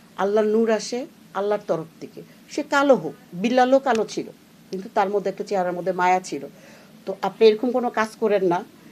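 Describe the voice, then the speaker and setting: A woman speaks with ordinary pitch variation and big swings in loudness. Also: medium pitch for a woman. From Bangladesh. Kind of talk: opinion commentary. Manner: animated.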